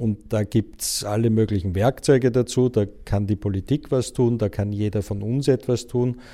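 A man's medium-pitched, dark and mellow voice at a moderate pace, fairly even in intonation with hardly any pauses, on a very clean recording with a silent background. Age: 50s. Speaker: journalist and book publisher. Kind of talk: interview.

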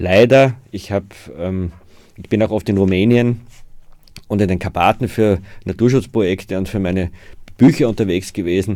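A dark, mellow tone at a moderate pace, with ordinary pitch variation, big swings in loudness, and long, frequent pauses. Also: man, fairly low pitch for a man. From Austria, Waldviertel (Lower Austria). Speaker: author and forest conservationist. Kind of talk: interview. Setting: studio.

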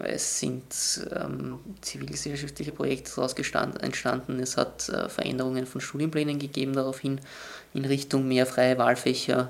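A man's medium-pitched voice, flat and monotone, at a moderate pace. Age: 20s. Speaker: student representative. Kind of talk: interview. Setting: student union office. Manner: halting.

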